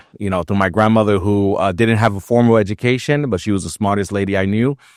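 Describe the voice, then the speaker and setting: Speaking at a very fast pace, a man has a fairly low pitch and a New York accent. His pitch moves with ordinary variation. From New York City, South Bronx, Puerto Rican family. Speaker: nonprofit executive director. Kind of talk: podcast interview. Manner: many filler words, halting.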